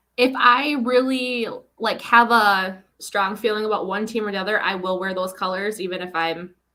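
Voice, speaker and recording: With audible room echo, a woman talks at a moderate pace in a Minnesotan accent. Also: medium pitch for a woman, ordinary pitch variation. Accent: Minnesota. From Minnesota, US Midwest. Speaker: author guest. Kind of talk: casual chat.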